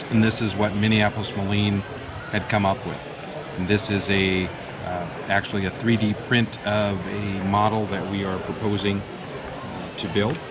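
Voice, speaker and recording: Over noticeable background noise, a man talks in a monotone, flat intonation at a fairly low pitch. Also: moderate pace. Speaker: toy manufacturer representative. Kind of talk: interview answer.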